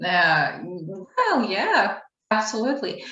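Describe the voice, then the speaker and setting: This woman's intonation is lively. Her delivery is fairly slow. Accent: American. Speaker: English teacher, channel host. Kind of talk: casual conversation.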